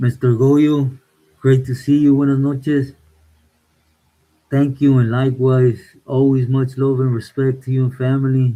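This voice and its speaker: A man with a Spanish accent talks at a moderate pace in a medium pitch and a relaxed tone. His intonation is monotone and flat, with long, frequent pauses. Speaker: livestreamer. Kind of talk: casual live chat reading viewer comments. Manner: relaxed, code-switching Spanish and English.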